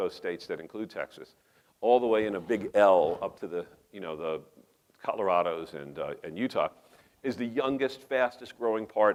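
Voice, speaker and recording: A man's animated, medium-pitched voice in a New York accent, with big swings in loudness. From New York metropolitan area. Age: 50s. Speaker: professor and urban policy researcher. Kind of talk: conference talk. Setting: conference room, small audience. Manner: animated, conversational.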